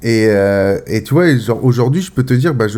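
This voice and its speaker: Speaking at a moderate pace, a man with a medium pitch and a dark, mellow tone uses lively intonation. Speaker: podcast host, cannabis grower. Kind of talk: casual chat. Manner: halting, with repetitions.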